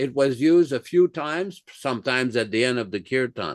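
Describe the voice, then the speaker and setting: At a fairly quick pace, a man with a slight French accent speaks at a medium pitch with ordinary pitch variation, in a dry, close sound with no echo over a quiet background. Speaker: spiritual teacher. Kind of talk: religious class with Q&A. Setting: live online class.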